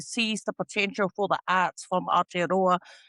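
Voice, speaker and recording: In a very clean recording with a silent background, the speaker has a bright, sharp tone at a moderate pace, the sound dry and close with no echo.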